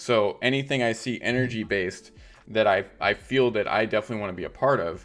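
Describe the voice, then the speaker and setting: Very fast speech from a man at a medium pitch, ordinary pitch variation, with music in the background. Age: 40s. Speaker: crypto streamer. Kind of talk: interview. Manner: animated.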